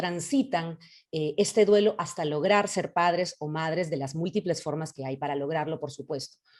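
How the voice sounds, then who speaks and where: At a moderate pace, a woman with an ordinary speaking voice talks in a fairly low pitch with lively intonation. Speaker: psychologist. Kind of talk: lecture. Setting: video call.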